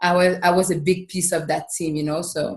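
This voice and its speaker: A woman with a Quebec accent speaks at a moderate pace. Her voice is fairly low and her intonation monotone and flat. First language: French. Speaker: professional basketball player. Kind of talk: podcast interview. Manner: casual.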